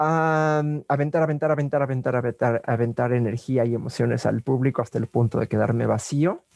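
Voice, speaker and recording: A man at medium pitch with fairly even intonation, very even loudness and hardly any pauses, in a dry, close sound with no echo. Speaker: drag performer. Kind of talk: interview testimony. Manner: halting.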